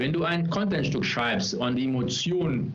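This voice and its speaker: A man speaks with an English accent. His pace is fairly slow and his intonation lively. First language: English (speaking German). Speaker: personal branding specialist. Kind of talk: interview. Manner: halting, many fillers. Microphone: no headphones, echo in recording.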